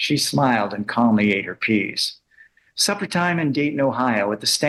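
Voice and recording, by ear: With lively intonation, a natural voice reads aloud over a quiet background.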